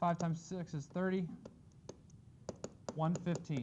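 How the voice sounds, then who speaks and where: A man talks with a high pitch. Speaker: math teacher. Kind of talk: classroom lecture. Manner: fast.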